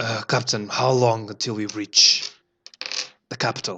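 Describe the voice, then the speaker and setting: In a put-on character voice, a man speaks at a moderate pace with a raspy, medium-pitched, flat monotone delivery. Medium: actual play. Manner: commanding, curt.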